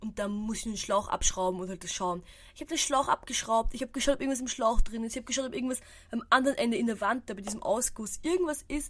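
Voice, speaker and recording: A woman talks very fast in a fairly high pitch with lively intonation. Her loudness swings widely. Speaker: podcaster. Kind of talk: casual solo monologue.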